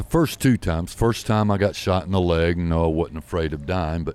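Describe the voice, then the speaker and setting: A man with a very deep, low pitch. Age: 60s. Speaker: bar patron, former hockey player. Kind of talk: casual chat, storytelling. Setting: bar.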